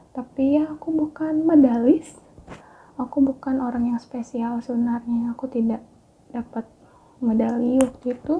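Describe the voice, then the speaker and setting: A woman's high voice at a moderate pace, with fairly even intonation, over noticeable background noise. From Bali, Indonesia (Denpasar). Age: 20s. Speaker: educational YouTuber, astronomy teacher. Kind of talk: casual personal vlog.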